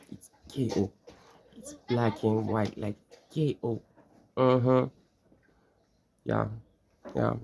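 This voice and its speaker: A man speaks with long, frequent pauses and big swings in loudness. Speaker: social media content creator. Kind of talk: casual monologue. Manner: fast; animated.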